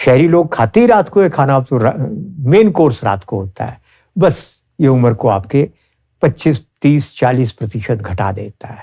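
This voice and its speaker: A somewhat breathy man with a dark, mellow tone talks at a medium pitch, which swings very widely. The sound is dry and close, with no echo. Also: big swings in loudness. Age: 70s. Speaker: ayurvedic practitioner. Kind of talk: interview.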